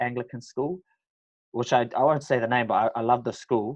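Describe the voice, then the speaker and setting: Speaking very fast with a New Zealand accent, a man keeps his intonation fairly even. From New Zealand, Auckland. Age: 20s. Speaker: professional mixed martial artist. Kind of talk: podcast interview. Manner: casual, halting with many fillers.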